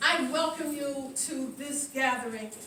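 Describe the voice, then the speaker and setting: A woman's high-pitched, raised, projected voice, at a fairly slow pace, with audible room echo and noticeable background noise. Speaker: museum founding director. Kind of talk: ceremony speech. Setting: outdoors. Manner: halting.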